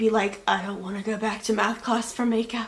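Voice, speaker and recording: Rather high female speech against clearly audible background noise. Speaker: beauty vlogger. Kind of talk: casual product review monologue. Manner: fast; chatty, filler-heavy.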